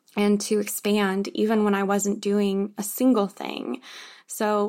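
A woman speaks at a fairly slow pace in a normal speaking voice, with a medium pitch. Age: 20s. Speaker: podcast host. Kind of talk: solo monologue.

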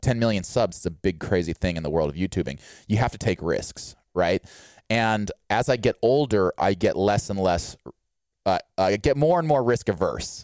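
An ordinary speaking voice, a man at a fairly low pitch talks at a moderate pace with lively intonation and very even loudness, the sound dry and close with no echo. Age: 30s. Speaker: fitness YouTuber and podcast host. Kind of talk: casual chat. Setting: video call.

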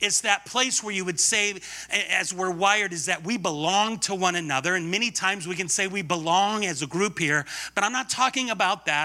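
An animated man's raised, projected voice, high-pitched, bright and sharp in tone, with ordinary pitch variation. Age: 50s. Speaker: guest preacher. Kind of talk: sermon. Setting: church.

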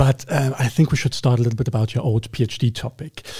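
A man talks at a fairly quick pace. His tone is dark, mellow and somewhat breathy. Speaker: podcast host. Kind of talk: casual interview. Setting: studio.

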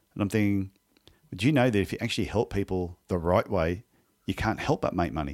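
A man with an Australian accent talks at a fairly quick pace, his pitch fairly low with ordinary pitch variation. The recording is very clean, with a silent background. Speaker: podiatrist and podcast host. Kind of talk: interview conversation.

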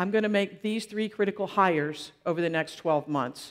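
Animated and energetic, a woman talks at a moderate pace. Her pitch is medium. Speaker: entrepreneur and angel investor giving a conference talk. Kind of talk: conference talk with audience Q&A. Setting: stage with live audience. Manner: animated, energetic.

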